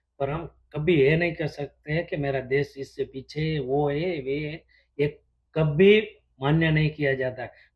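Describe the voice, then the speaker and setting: A man talks in a fairly high, somewhat breathy voice with fairly even intonation. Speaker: businessman and sourcing agent in China. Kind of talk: casual interview conversation.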